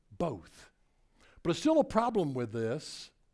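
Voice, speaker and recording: A man with a Tennessee accent, animated in tone, at a fairly slow pace, in a very clean recording with a silent background. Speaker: motivational speaker. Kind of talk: keynote speech.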